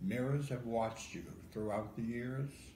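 Speaking with an American accent, a man with a fairly low voice is heard against light background noise and audible room echo. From Ohio. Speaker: poet. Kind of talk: poetry reading. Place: home room. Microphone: phone near.

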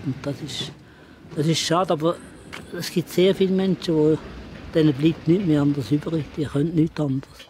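Through noticeable background noise, a man with a fairly high pitch talks at a moderate pace, with fairly even intonation and long, frequent pauses. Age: 80s+. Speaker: retired hiker. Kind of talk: interview answer.

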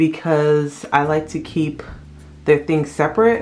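A woman's very deep, low-pitched voice with vocal fry, at a fairly slow pace. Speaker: mother vlogger. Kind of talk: casual vlog chat. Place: bathroom. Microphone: phone near.

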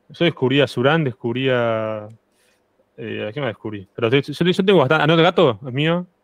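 In a dry sound with no echo and a quiet background, a man speaks at a moderate pace with lively intonation. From Argentina. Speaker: guest streamer; guest. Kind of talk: casual chat. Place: home room. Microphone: studio mic.

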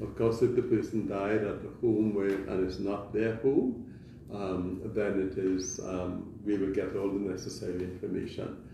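In a room with audible echo, a man talks fairly slowly in a low voice with vocal fry and fairly even intonation.

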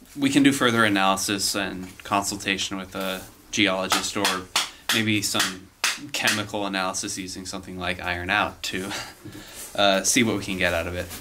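A man speaks at a moderate tempo while background noise is clearly noticeable. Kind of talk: informal explanation to camera. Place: tunnel cave.

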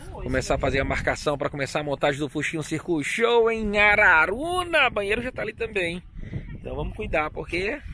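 Amid light background noise, a man speaks at a moderate pace with lively intonation in a dry sound with no echo. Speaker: circus owner vlogger. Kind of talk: casual vlog chat. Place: open country. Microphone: phone near.

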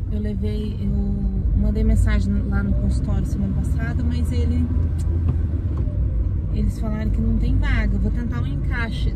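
Moderate-paced speech from a woman, music playing in the background. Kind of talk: casual vlog chat. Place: car. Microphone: phone near.

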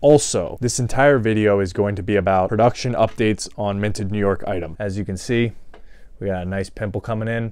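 Using an ordinary speaking voice, a man with a fairly low pitch talks at a fairly quick pace with fairly even intonation and a dry sound with no echo. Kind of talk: casual vlog chat. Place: home room. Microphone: lapel.

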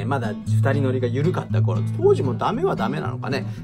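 Loud music plays in the background. A man talks at a moderate pace. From Hiroshima, Onomichi. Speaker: actor. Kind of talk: casual talk to camera. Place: studio. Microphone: phone near.

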